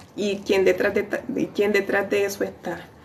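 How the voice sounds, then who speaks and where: At a fairly slow pace, a woman talks at a medium pitch through audible room echo and noticeable background noise. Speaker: lay preacher. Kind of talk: sermon. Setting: livestream. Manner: animated.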